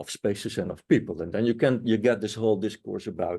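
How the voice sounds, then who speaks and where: A man's medium-pitched voice with a dark, mellow tone and a Dutch accent, over a quiet background. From Netherlands. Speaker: anthropology professor. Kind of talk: panel discussion. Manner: hesitant, many fillers.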